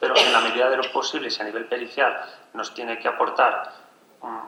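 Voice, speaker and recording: A man's medium-pitched voice at a fairly quick pace, with audible room echo and noticeable background noise. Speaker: forensic family expert. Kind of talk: conference talk. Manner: fast.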